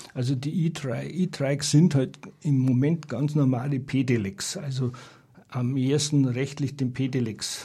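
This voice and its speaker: Fairly high-pitched man, somewhat breathy, dark, mellow tone, fairly even intonation, fairly slow pace. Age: 60s. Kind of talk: radio interview. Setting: radio studio.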